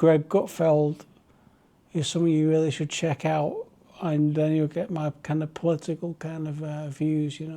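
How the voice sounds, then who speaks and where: A man with a relaxed, dark, mellow tone speaks in a monotone, flat intonation against a quiet background. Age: 40s. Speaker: vlogger. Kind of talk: casual chat.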